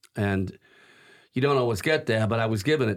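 Heard in a very clean recording with a silent background, a man uses a normal speaking voice at a fairly quick pace, medium-pitched with ordinary pitch variation. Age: 60s. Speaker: priest and cathedral rector. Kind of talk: casual interview.

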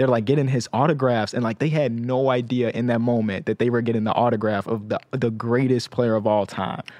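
An ordinary speaking voice: a man with an American accent, medium pitch, fairly even intonation and very even loudness, at a fairly quick pace with hardly any pauses. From Chicago. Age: 20s. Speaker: podcast host. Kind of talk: casual interview.

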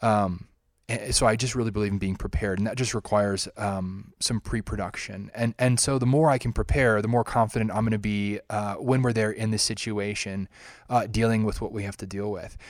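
The man's voice sits fairly low, and his intonation stays fairly even. He talks at a fairly quick pace in a very clean recording with a silent background. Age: 30s. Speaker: humanitarian photographer and filmmaker. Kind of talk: interview. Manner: hesitant, many fillers.

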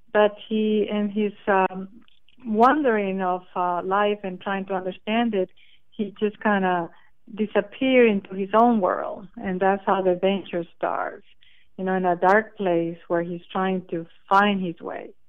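A woman's medium-pitched voice, fairly slow in pace, with fairly even intonation. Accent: Spanish. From Costa Rica. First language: Spanish. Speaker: children's author. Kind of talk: interview.

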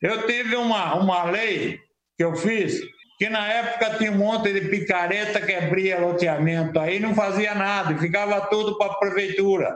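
The man keeps a high pitch, fairly even intonation, very even loudness and a moderate pace. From Sorocaba, São Paulo state, Brazil. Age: 70s. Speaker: former city councillor. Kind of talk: interview. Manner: halting, repeats words.

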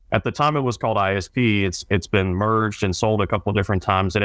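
A man with an American accent talks very fast at a fairly low pitch. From North Carolina, military family moving around. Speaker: sports play-by-play announcer. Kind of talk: casual interview.

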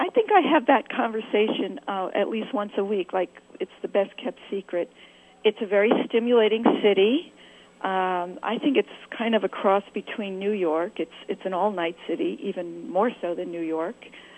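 A woman with an American accent and a plain, everyday voice speaks at a moderate pace, her medium pitch moving in lively intonation. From California. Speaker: author, tango dancer. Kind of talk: interview.

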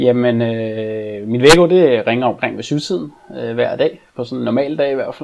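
Noticeable background noise around a man's fairly slow delivery. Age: 40s. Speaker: e-commerce manager. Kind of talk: interview. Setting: video call.

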